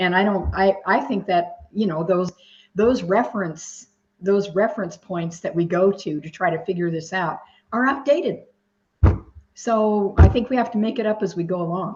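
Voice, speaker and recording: Her medium-pitched voice is somewhat breathy, moving at a moderate pace with ordinary pitch variation. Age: 70s. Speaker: discussion group participant. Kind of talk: group video discussion.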